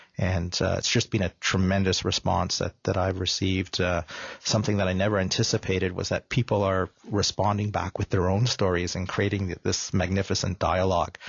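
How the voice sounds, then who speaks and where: A man with a Canadian accent talks at a fairly quick pace in a very deep, low, somewhat breathy voice with monotone, flat intonation. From Canada, mostly Toronto. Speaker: filmmaker. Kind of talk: radio interview. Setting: radio studio.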